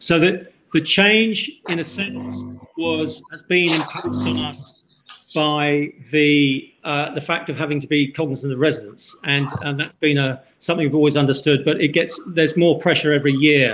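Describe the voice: Fairly high in pitch, a man speaks with a fairly bright tone. His intonation is fairly even and his pace moderate.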